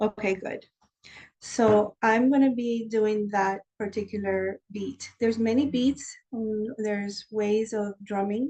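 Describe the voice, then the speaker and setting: The tone is dark and mellow and somewhat breathy. Delivery comes at a very slow pace. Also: woman, fairly high pitch for a woman, fairly even intonation. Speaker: shamanic life coach. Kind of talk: guided meditation.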